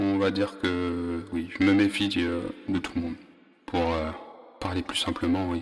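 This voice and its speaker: Very deep and low in pitch, a man talks at a fairly slow pace in a monotone, flat delivery with long, frequent pauses. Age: 30s. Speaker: personal podcaster. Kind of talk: personal narration. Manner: halting.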